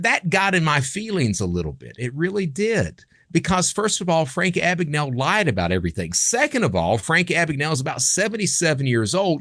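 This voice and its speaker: A man with an Appalachian accent talks at a fairly quick pace with hardly any pauses, his fairly high pitch swinging very widely over a vocal fry. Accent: Appalachian US Southern. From Eastern Kentucky. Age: 50s. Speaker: podcast host, former criminal turned consultant. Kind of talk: podcast monologue. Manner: casual, conversational with self-interruptions.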